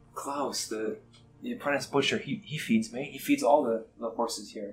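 In a put-on character voice, the speaker mumbles at a moderate pace. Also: man, medium pitch for a man. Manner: sleepy, mumbling.

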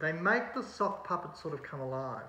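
Audible room echo colors a man's voice as he talks at a fairly quick pace. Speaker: presenter. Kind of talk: tutorial. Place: home room. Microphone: phone near.

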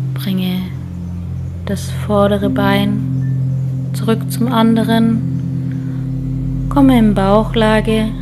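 Over loud background noise, a woman with a very deep, low pitch speaks at a very slow pace with very wide pitch swings. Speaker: yoga teacher. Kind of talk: guided yoga instruction. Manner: calm, gentle.

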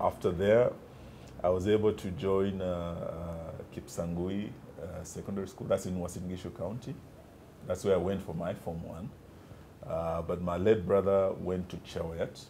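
A man with a very deep, low pitch and a dark, mellow tone speaks in monotone, flat intonation. Long, frequent pauses come through over light background noise. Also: moderate pace. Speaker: interview guest. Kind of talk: interview answer. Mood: relaxed, reminiscing. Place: office. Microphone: lapel.

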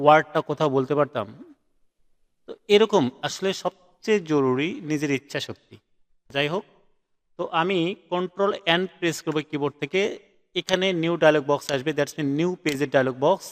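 A man with an unremarkable speaking voice, fairly high in pitch with ordinary pitch variation, in a dry, close sound with no echo. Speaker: graphic design instructor. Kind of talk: live online class lecture.

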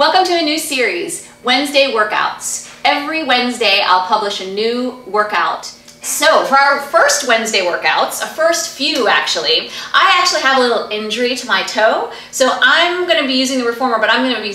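The voice is raised and projected, moving at a moderate pace with hardly any pauses, and the room echo is audible. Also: woman. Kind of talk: tutorial. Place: home room. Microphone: camera far.

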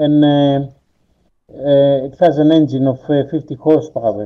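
Against a quiet background, a man talks with a Greek accent at a fairly high pitch. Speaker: gamer. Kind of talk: casual gameplay chat. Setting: online voice chat. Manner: halting. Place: home room.

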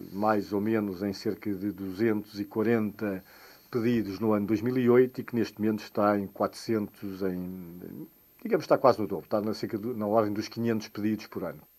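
A man with a fairly low pitch speaks in a dark, mellow tone with fairly even intonation. His pace is fairly slow, and the recording is very clean with a silent background. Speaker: architects' association president. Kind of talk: radio interview. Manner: halting.

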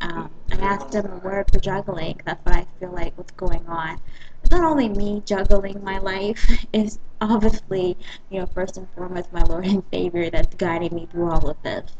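Speaking with an American accent at a moderate pace, the voice shows ordinary pitch variation and big swings in loudness over noticeable background noise. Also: woman. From US South, South Carolina. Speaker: dance company owner. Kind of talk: personal video blog. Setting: webcam in a coffee shop. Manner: casual, hesitant. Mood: warm, grateful. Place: cafe. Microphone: webcam.

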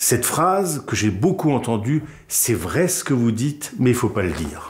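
A man at a fairly slow pace, with very wide pitch swings and light background noise. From Alsace, France (Wolfisheim near Strasbourg); Alsace, France. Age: 50s. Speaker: comedian and radio/TV columnist; interviewee, comedian. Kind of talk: interview testimony; interview answer. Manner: hesitant, with fillers. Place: studio. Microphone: lapel.

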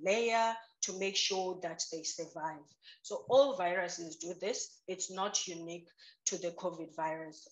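Her intonation fairly even, a woman talks at a moderate pace against a quiet background. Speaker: guest. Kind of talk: interview answer. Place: home room. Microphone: video call.

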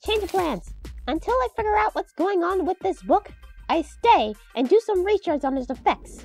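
A cartoonish character voice at an extremely high pitch and moderate pace, with faint music in the background. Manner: formal, stiff, matter-of-fact.

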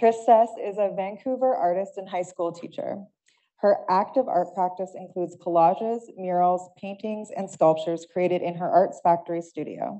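This woman talks at a moderate pace with ordinary pitch variation and big swings in loudness. The background is quiet. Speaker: panel moderator. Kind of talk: panel moderation. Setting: stage with audience. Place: hall. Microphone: podium.

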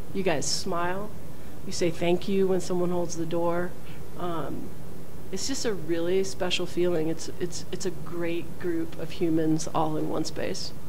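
A woman speaks at a fairly slow pace with a fairly low pitch. Noticeable background noise runs underneath. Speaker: school dean, former cyclist. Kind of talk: casual interview answers. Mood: warm, upbeat. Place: office. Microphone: studio mic.

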